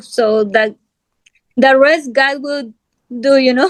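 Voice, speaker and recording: Speaking with a Spanish accent, a woman has a high pitch and fairly even intonation. The sound is dry and close with no echo. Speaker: guest sharing religious testimony. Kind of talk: testimony interview. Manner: halting.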